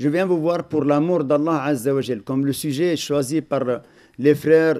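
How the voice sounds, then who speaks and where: A man with a fairly high pitch and a dark, mellow tone speaks with ordinary pitch variation in a very clean recording with a silent background. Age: 60s. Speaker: imam. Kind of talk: religious lecture.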